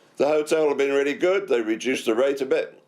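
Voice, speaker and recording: A man with a New Zealand accent and ordinary pitch variation. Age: 70s. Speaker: stranded traveller interviewee. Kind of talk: radio interview. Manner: relaxed.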